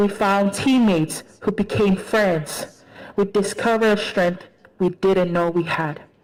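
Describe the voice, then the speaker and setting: In a Tongan accent, a woman speaks fairly slowly at a medium pitch with fairly even intonation. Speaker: graduating student speaker. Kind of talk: commencement speech.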